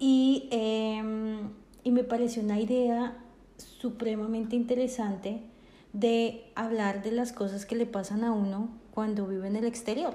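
Audible room echo surrounds a woman's fairly high, dark and mellow voice. She speaks fairly slowly in a flat monotone. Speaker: podcast co-host. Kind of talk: casual chat.

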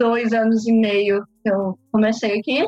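Speaking at a moderate pace, the woman has a high voice. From Brazil, Londrina, Paraná. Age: 20s. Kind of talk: casual interview.

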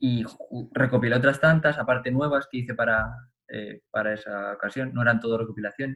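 A bright, sharp voice speaks at a fairly quick pace with fairly even intonation. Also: man, medium pitch for a man. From Spain, Albacete province. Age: 20s. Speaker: pianist and composer. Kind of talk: casual interview chat.

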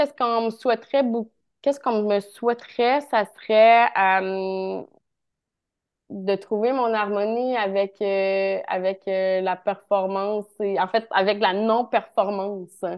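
In a Quebec accent, a woman speaks at a very slow pace. Her pitch is medium and her intonation fairly even. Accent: Québécois French. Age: 30s. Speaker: naturotherapist. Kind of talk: casual interview chat.

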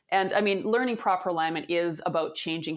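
Fairly low-pitched, a woman talks at a fairly quick pace with ordinary pitch variation. It is a plain, everyday voice. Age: 50s. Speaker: fascia therapy founder and athletic therapist. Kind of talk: interview.

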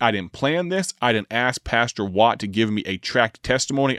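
Ordinary variation in pitch from a man whose voice sits at medium height. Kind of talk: radio monologue reading listener messages. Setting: studio. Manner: slow when giving phone number.

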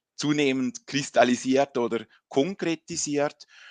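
A man's voice against a quiet background, the sound dry and close with no echo. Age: 40s. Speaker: business consultant and trainer. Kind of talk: interview. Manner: halting.

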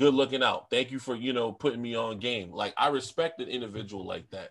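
Over a quiet background, a man with an American accent and a plain, everyday voice talks at a fairly quick pace, medium in pitch with ordinary variation. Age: 30s. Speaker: food content creator. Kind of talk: casual chat.

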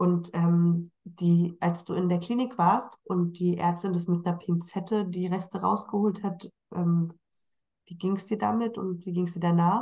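A woman speaks fairly slowly in a fairly low, dark, mellow voice. Her tone is somewhat breathy and her intonation fairly even. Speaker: podcast host. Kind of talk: casual interview.

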